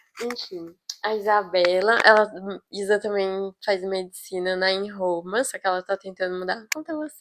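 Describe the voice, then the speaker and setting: A woman in a normal speaking voice, medium pitch and moderate pace, with ordinary pitch variation and a dry, close sound with no echo. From Brazil, Goiás. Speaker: medical student, vlogger. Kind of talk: casual chat.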